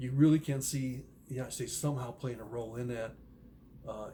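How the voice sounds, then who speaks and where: This soft-spoken man talks at a moderate pace and medium pitch. His tone is dark and mellow, and somewhat breathy. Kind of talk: casual monologue on Bible prophecy. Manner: halting, many fillers.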